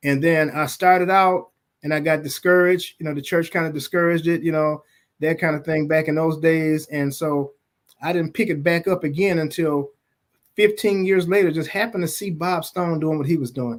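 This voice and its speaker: Fairly high-pitched and fairly quick, a man speaks with fairly even intonation. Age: 60s. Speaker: music label owner and museum founder. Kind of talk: podcast interview. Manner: halting, frequent repetitions.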